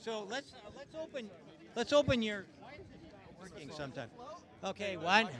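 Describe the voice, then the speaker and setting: Over noticeable background noise, a man with a high voice speaks in an animated tone, with very wide pitch swings, big swings in loudness and long, frequent pauses. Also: moderate pace. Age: 70s. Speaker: Cybertruck owner presenting at an event. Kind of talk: live demo to a crowd. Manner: loud, yelling.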